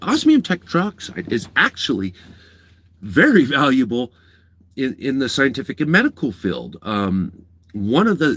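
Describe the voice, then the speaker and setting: A man speaks loudly at a fairly slow pace. His pitch swings very widely. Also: very clean recording, silent background. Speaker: livestreamer. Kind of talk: live stream chat.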